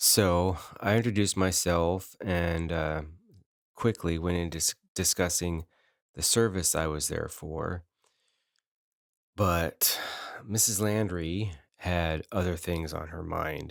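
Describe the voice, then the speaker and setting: A man with an American accent, very deep, low pitch, very slow pace, long frequent pauses and fairly even intonation, on a very clean recording with a silent background. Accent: northern US accent noticed by locals. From northern US. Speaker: podcast host. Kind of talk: personal storytelling. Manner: conversational with fillers.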